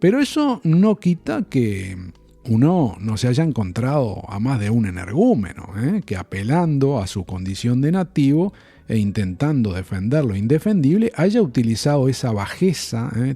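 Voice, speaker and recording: With a dark, mellow tone at medium pitch, a man speaks at a fairly slow pace, his pitch swinging very widely. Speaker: podcaster. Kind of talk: personal reflective podcast monologue.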